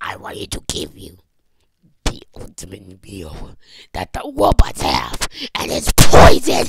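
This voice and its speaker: In a raspy put-on character voice, a man talks fairly slowly with long, frequent pauses and big swings in loudness. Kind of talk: comic overacting. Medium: fan dub. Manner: gloating, menacing.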